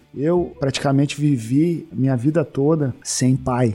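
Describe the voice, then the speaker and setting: This man's voice has a dark, mellow tone and a fairly high pitch. He speaks at a fairly slow pace with ordinary pitch variation. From Porto Alegre, southern Brazil. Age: 40s. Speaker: former footballer, sports missionary. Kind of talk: interview testimony. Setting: studio.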